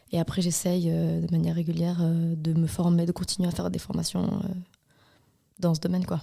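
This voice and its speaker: A woman talks at a fairly quick pace, broken by long, frequent pauses. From Switzerland, Valais. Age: 30s. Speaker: hairdresser and salon owner. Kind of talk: podcast interview.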